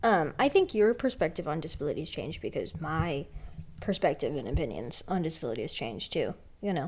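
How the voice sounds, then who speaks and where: Very fast and with very wide pitch swings, a woman speaks at a fairly low pitch. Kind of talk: casual chat.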